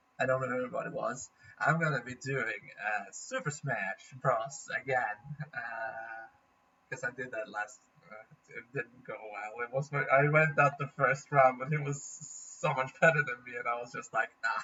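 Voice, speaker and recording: Speaking at a moderate pace with a Norwegian accent, this man keeps a fairly even intonation while his loudness swings widely. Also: medium pitch for a man. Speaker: gaming vlogger. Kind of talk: casual vlog update.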